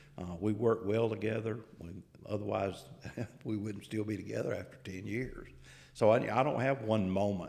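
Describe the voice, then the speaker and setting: A fairly low-pitched man at a moderate pace, with fairly even intonation, big swings in loudness and audible room echo. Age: 70s. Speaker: agricultural researcher. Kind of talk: interview.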